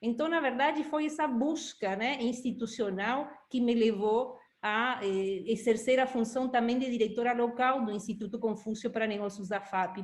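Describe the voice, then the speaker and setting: A woman's fairly high voice with a Uruguayan accent, ordinary pitch variation and hardly any pauses. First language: Spanish (speaking Portuguese). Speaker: institute director. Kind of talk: interview.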